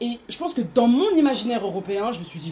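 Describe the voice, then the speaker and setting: A woman with lively intonation speaks fairly quickly, noticeable noise audible behind her. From France, Seine-Saint-Denis (93). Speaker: artist and podcaster, book discussion guest. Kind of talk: casual book discussion.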